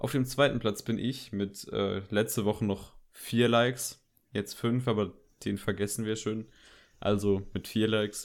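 Using an unremarkable speaking voice, a man talks at a fairly low pitch and a fairly slow pace with fairly even intonation. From Germany, Koblenz area. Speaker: film podcast host. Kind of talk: casual chat. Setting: home, bedroom.

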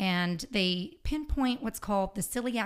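Against a silent background in a very clean recording, a woman with a plain, everyday voice speaks at a fairly slow pace with lively intonation. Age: 40s. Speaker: podcast guest, health and fitness advocate. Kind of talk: casual interview chat.

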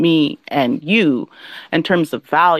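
A woman with an animated tone comes through in a dry, close sound with no echo, in a very clean recording with a silent background. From Southeast Alaska village. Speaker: tech entrepreneur, CEO. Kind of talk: interview. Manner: flowing.

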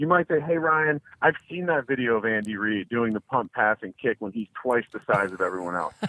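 A man at a medium pitch, fairly quick pace and hardly any pauses, with lively intonation, a bright, sharp tone and a dry, close sound with no echo. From New Jersey. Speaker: sports gambling podcast co-host. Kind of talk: interview. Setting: phone call.

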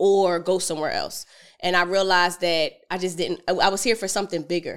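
A woman at medium pitch with an American accent, a plain, everyday voice, moderate pace, and a very clean recording with a silent background. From Philadelphia, US. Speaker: entrepreneur, financial educator. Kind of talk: podcast interview.

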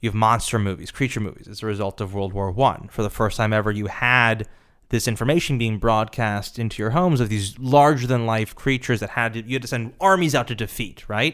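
A man's normal speaking voice at medium pitch, ordinary pitch variation, fairly quick pace, very clean recording with a silent background. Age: 30s. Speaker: film producer. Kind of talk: interview.

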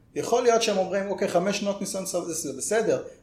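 Over noticeable background noise and audible room echo, a man speaks very fast in a high pitch. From northern Israel (Karmiel). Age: 20s. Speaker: software developer. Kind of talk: podcast interview. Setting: office.

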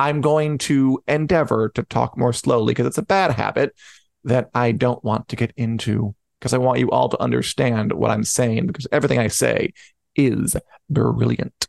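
A man in a plain, everyday voice speaks at medium pitch and a moderate pace, with ordinary pitch variation, very even loudness and a dry, close sound with no echo. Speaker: podcast host. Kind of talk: casual chat. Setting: live online show.

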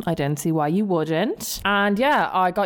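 A woman's animated voice at a medium pitch and moderate pace, with ordinary pitch variation over noticeable background noise. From Dublin, Ireland. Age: 20s. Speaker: podcast host. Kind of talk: casual chat, solo monologue. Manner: animated, chatty.

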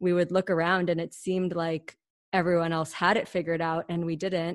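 A woman in a Mid-Atlantic accent speaks at a moderate pace, with a fairly low pitch and monotone, flat intonation. The sound is dry and close with no echo, over a quiet background. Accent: American, Mid-Atlantic. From US, Washington DC area. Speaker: podcast co-host, business school graduate. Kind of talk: casual interview.

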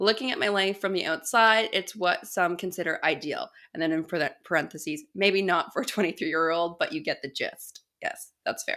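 At a moderate pace, a woman speaks in a normal speaking voice with a medium pitch and ordinary pitch variation. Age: 20s. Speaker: podcast host. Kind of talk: casual interview.

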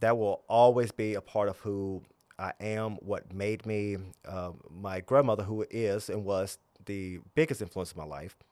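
A man with a Southern US accent at a moderate pace, ordinary pitch variation, on a very clean recording with a silent background. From US South, southern Virginia. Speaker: spiritual guide and religious founder. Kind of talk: casual conversational interview.

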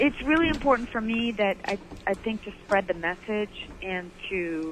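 With a Michigan accent, a woman speaks with lively intonation. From Michigan, Detroit area. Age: 50s. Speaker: fitness presenter and author. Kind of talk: casual chat. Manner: animated.

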